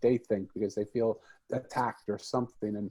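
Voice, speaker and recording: A man with an American accent speaks in a dark, mellow tone. The recording is very clean, with a silent background. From Philadelphia, US. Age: 60s. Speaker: author and podcaster. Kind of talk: podcast interview.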